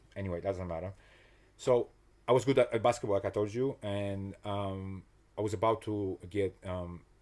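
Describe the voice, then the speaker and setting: A man with a non-native accent and fairly low pitch speaks at a fairly quick pace with fairly even intonation, on a very clean recording with a silent background. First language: not English. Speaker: personal trainer and motivational coach. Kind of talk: casual interview chat. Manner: halting, many restarts and fillers.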